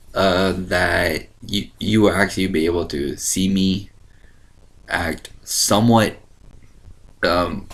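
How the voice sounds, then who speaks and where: Very deep and low in pitch, a man speaks at a very slow pace with long, frequent pauses. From Ohio. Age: 20s. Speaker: online video host. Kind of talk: casual chat. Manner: animated.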